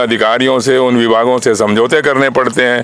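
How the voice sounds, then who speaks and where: Noticeable background noise surrounds a man whose voice rests at a medium pitch. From Haryana, India (Bhiwani district). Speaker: party founder, politician. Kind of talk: interview.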